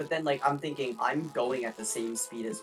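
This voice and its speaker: The speech moves at a moderate pace while music plays in the background. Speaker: podcast guest, fellow gaming creator. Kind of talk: casual banter in a comedic gaming podcast.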